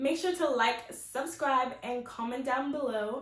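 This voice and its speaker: A woman's high-pitched voice, with ordinary pitch variation, comes through noticeable background noise. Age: 20s. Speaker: incoming medical student. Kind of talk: casual talk to camera.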